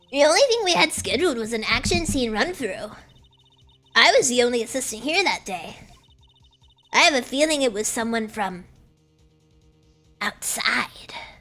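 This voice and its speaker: Putting on a nasal character voice, a high-pitched woman talks at a moderate pace with very wide pitch swings and long, frequent pauses while faint music plays in the background. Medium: virtual streamer.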